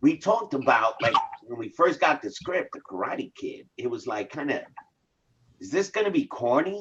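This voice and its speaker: A man speaks at a moderate pace in an animated tone, his loudness swinging widely. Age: 50s. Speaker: actor. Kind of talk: interview.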